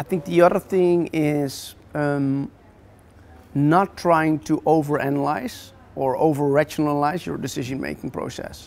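A man at a fairly slow pace, fairly high in pitch, with ordinary pitch variation. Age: 40s. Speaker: entrepreneur; guest. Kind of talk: interview. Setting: office. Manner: halting. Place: hall. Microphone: lapel.

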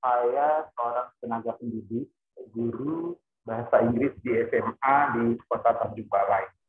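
A man speaks at a fairly slow pace. There is audible room echo over a quiet background. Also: medium pitch for a man, fairly even intonation. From North Sumatra. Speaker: high school English teacher. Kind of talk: question in online class. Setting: video call, camera off. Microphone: video call.

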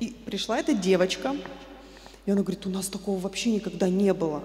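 Audible room echo and light background noise surround a woman speaking at a medium pitch. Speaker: church member giving testimony. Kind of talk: testimony speech to congregation. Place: church. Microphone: handheld.

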